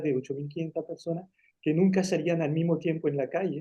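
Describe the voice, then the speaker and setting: Speaking at a fairly quick pace in a French accent, a man uses a high pitch and fairly even intonation. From France, rural Auvergne town, Spanish-speaking refugee parents. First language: French (speaking Spanish). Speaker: engineer and writer. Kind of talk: interview. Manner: halting.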